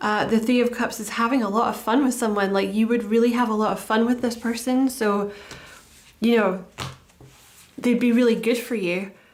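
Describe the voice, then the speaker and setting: At a moderate pace, a woman talks in a monotone, flat intonation with long, frequent pauses, and audible room echo surrounds her voice. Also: fairly high pitch for a woman. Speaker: tarot reader. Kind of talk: tarot reading. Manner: casual, halting with fillers.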